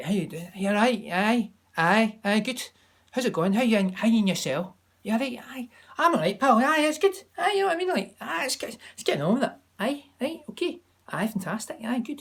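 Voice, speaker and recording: A woman's put-on character voice in a Scottish accent, fairly high in pitch and at a fairly quick pace. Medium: solo performance. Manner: warm, sing-song.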